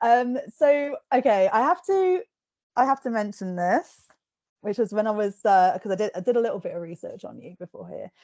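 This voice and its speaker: A woman's fairly high voice in a dark, mellow tone with very wide pitch swings, at a moderate pace, dry and close with no echo. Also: big swings in loudness. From England. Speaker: book reviewer and podcast host. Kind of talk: interview.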